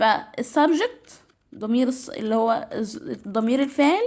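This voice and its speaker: Spoken at a moderate pace with an Egyptian accent, the voice has lively intonation. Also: woman. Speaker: English teacher. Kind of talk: tutorial. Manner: halting, with self-corrections.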